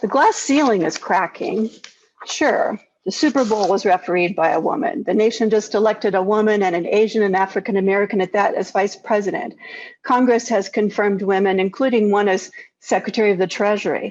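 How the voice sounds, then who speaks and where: This is an ordinary speaking voice from a woman at a medium pitch with ordinary pitch variation. She talks at a fairly quick pace with very even loudness. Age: 60s. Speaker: keynote speaker, physician. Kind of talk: keynote speech. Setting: video call.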